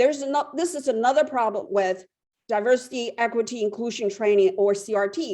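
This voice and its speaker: With a Chinese accent, a woman talks in a fairly high pitch with lively intonation. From China. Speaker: public commenter. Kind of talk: public comment. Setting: phone call.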